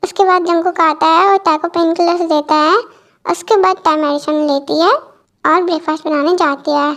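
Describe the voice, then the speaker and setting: At a fairly quick pace, a woman speaks with an extremely high pitch, very even loudness and fairly even intonation. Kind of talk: casual Hinglish storytelling. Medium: read story. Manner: informal, explanatory.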